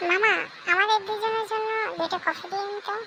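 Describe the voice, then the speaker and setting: A cartoonish character voice comes through, squeaky and extremely high in pitch. Clear background noise sits behind it. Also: moderate pace. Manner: brisk, friendly.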